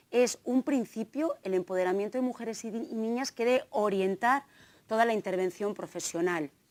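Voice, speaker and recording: A woman speaks fairly quickly in a slight Navarrese accent. The sound is dry and close, with no echo. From Navarre, Spain (Tafalla, central Navarre). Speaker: gender equality trainer and researcher. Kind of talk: conference talk.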